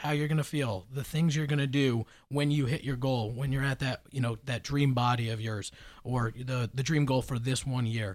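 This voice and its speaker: On a very clean recording with a silent background, a man with an American accent and a normal speaking voice talks at a moderate pace and medium pitch with ordinary pitch variation. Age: 30s. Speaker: fitness and nutrition professional. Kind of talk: casual chat.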